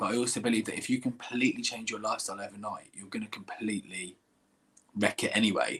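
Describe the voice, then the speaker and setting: With an English accent, a man speaks with ordinary pitch variation. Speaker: singer and musical theatre actor. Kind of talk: interview Q&A. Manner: halting, repeats words.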